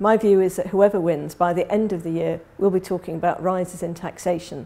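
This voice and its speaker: A woman's fairly low, dark and mellow voice with vocal fry, a monotone, flat intonation and a fairly quick pace. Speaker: economist. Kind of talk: economic forecast presentation.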